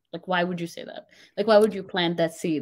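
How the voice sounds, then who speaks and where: Her voice sits fairly low, and the woman speaks with a non-native accent. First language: not English. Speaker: confidence coach. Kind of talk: interview.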